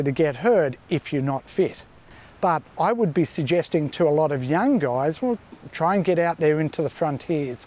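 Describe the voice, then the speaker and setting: Speaking at a moderate pace, a man with an Australian accent has a fairly high pitch and a dark, mellow tone. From New South Wales, Australia. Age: 50s. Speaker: surfer. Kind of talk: interview answer.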